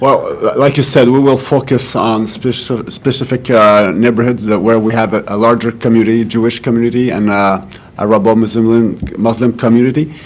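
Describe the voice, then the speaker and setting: Speaking at a fairly quick pace, a man leaves hardly any pauses. Noticeable background noise and audible room echo are present. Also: medium pitch for a man, fairly even intonation. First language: French. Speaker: police official. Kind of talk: press conference answers. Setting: press conference. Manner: halting, many repetitions.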